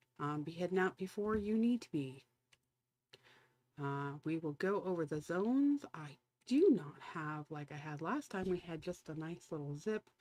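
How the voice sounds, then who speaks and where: A soft-spoken woman talks with a dark, mellow tone and lively intonation. Her loudness swings widely. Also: fairly low pitch for a woman, moderate pace. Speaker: livestreamer giving wildfire updates. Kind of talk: live stream commentary. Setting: home live stream at night. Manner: casual, halting with fillers.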